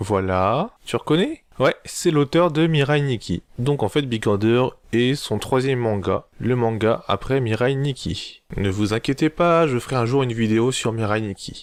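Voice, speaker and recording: At a moderate pace, a man speaks in a medium pitch over a quiet background. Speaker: anime reviewer. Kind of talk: casual video review. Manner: improvised, animated.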